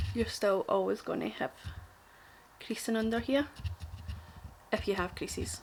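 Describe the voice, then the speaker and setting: With a strong Glaswegian accent, a woman speaks at a moderate pace, her fairly high voice carrying vocal fry. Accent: thick Glaswegian. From Glasgow, Scotland. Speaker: makeup artist. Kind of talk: casual makeup tutorial talk to camera.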